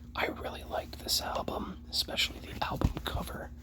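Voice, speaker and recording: Someone is whispering at a moderate pace. Background noise is noticeable. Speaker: ASMR creator. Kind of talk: ASMR soft spoken. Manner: soft-spoken.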